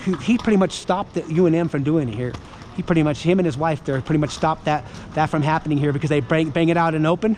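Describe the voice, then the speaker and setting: Noticeable background noise behind a very rapid delivery and pitch that varies in an ordinary way. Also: man, fairly high pitch for a man. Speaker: pro-life street activist. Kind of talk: street debate. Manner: fast.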